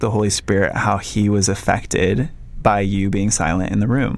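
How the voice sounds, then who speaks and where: With an ordinary speaking voice, a man speaks at a moderate pace, with fairly low pitch and fairly even intonation. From Minnesota. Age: 30s. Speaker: photographer. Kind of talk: casual chat.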